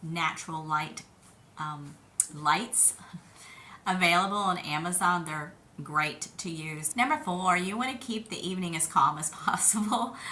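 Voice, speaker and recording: A woman talks at a fairly low pitch. Audible room echo surrounds her voice. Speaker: family caregiver, video blogger. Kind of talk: advice talk to camera. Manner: conversational.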